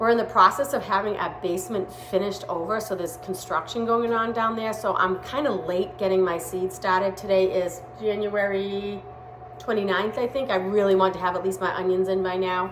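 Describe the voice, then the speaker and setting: In a room with audible echo and noticeable background noise, a woman with a Boston accent speaks at a fairly quick pace, at a medium pitch with ordinary pitch variation. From Massachusetts, Boston area. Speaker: home gardening vlogger. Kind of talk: casual unboxing vlog. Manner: casual, with hesitations.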